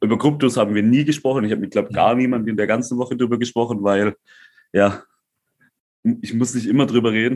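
Talking at a very fast pace, a man leaves long, frequent pauses. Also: medium pitch for a man, fairly even intonation. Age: 20s. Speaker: crypto entrepreneur. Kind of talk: casual chat.

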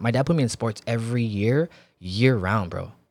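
In a very clean recording over a silent background, a man with a plain, everyday voice speaks at a medium pitch with ordinary pitch variation. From Filipino-American background. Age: 30s. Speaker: entrepreneur and former football player. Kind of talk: casual chat.

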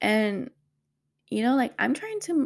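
In a very clean recording with a silent background, a woman talks at a moderate pace in an animated tone with vocal fry. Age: 30s. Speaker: podcast host, single mother. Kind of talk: casual monologue.

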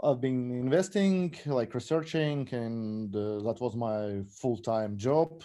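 In a Russian accent, a man speaks at medium pitch with a dark, mellow tone and ordinary pitch variation against a quiet background. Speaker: fantasy football player and crypto investor. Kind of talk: podcast interview. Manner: halting, many fillers.

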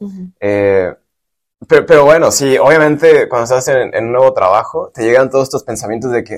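This man speaks with a Mexican accent at a medium pitch and a fairly quick pace. His pitch varies in an ordinary way. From Michoacán, Mexico. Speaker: civil engineer. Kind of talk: casual interview. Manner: halting, many fillers.

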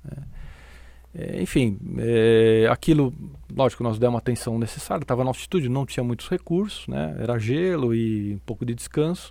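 The delivery comes at a moderate pace. Its dark, mellow tone rides on lively intonation. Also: man, medium pitch for a man. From Brazil, São Paulo. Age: 50s. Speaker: athletics coach. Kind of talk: casual interview.

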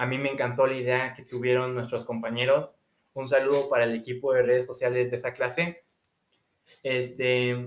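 This man talks at a moderate pace with a medium pitch. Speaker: student podcast host. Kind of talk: casual interview. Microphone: audio problems.

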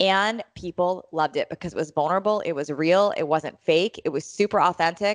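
At a fairly quick pace, a normal speaking voice moves with ordinary pitch variation. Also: woman, fairly low pitch for a woman, hardly any pauses. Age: 40s. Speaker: fitness coach and podcaster. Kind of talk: casual interview.

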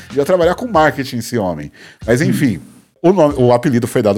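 A man's voice with very wide pitch swings and vocal fry, on a very clean recording over a silent background. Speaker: podcast host. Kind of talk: casual chat.

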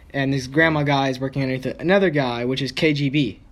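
A man with an unremarkable speaking voice, fairly high pitch, ordinary pitch variation and a moderate pace. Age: 20s. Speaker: podcast host. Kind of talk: casual chat.

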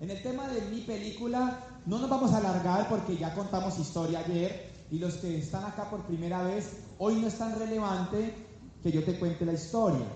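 There is noticeable background noise and audible room echo. A man speaks in a high pitch at a moderate pace with ordinary pitch variation. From Colombia, Valle del Cauca (Palmira). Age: 30s. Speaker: business speaker. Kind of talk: motivational seminar talk. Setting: stage with live audience. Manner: animated.

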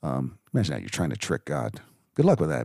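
A man speaks with vocal fry. His tone is dark and mellow. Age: old. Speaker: bible teacher. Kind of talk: scripture reading and commentary. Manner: casual, hesitant with fillers.

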